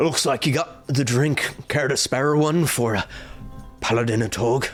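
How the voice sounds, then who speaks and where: A man's put-on character voice at medium pitch and moderate pace, with clear music in the background. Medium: actual play. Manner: formal, archaic phrasing.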